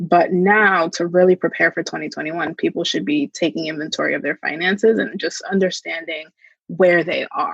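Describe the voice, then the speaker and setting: The recording has a dry, close sound with no echo. In it, a woman talks at a moderate pace. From New Jersey, US. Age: 20s. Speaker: financial wellness advocate. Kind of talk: podcast interview. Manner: casual.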